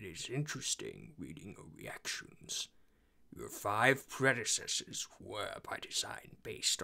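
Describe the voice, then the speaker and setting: A man whispers in a put-on character voice. He goes at a fairly slow pace. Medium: voice reel. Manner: slow, formal, detached.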